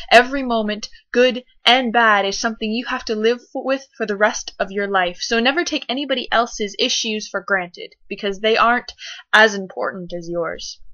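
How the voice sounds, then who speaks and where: With a fairly high pitch, a woman speaks in an ordinary speaking voice. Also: ordinary pitch variation, moderate pace. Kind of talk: spoken word poetry performance.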